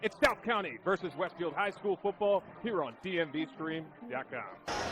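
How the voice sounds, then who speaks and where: The man's voice is high for a man, with lively intonation. He keeps a moderate pace. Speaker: sports broadcaster, play-by-play announcer. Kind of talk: live sports play-by-play commentary.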